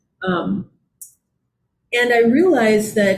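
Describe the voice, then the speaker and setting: A woman speaks in a somewhat breathy voice. Her pitch varies in an ordinary way. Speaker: Buddhist priest and teacher. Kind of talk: dharma talk conversation.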